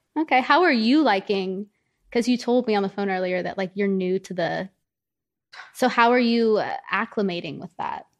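A woman with a Southern US accent, fairly high in pitch with ordinary pitch variation, at a moderate pace against a quiet background. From US South. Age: 20s. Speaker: social media influencer. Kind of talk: casual chat.

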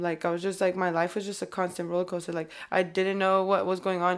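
A woman with a Californian accent at medium pitch and moderate pace, on a very clean recording with a silent background. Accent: California. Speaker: rapper. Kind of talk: casual interview chat.

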